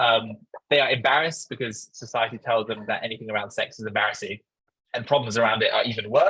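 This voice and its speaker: Someone speaks very fast in an English accent. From London, England. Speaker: startup founder. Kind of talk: conference talk. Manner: hesitant, many fillers.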